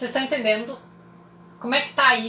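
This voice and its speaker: Against noticeable background noise and audible room echo, a woman speaks in an animated tone at a high pitch. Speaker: psychologist. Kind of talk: live stream talk to audience. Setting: Instagram live.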